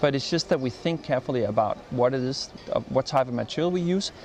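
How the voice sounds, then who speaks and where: A man with a Danish accent talks at a fairly quick pace in a medium pitch. His intonation is lively, and background noise is noticeable. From Denmark. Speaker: design expert. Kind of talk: interview. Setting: design festival interview. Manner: halting.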